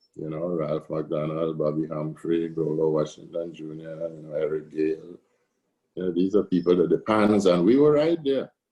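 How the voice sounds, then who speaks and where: A man with a Trinidadian accent. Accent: Trinidad and Tobago English. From Tobago. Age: 60s. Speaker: steelpan musician and arranger. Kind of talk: interview.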